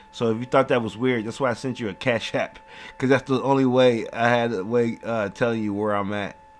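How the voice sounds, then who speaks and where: Music plays in the background. The intonation is fairly even. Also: man. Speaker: true crime commentator. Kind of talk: casual commentary. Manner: halting.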